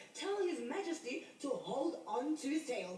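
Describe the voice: Over light background noise, a cartoonish character voice pitched high jumps through very wide pitch swings. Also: moderate pace.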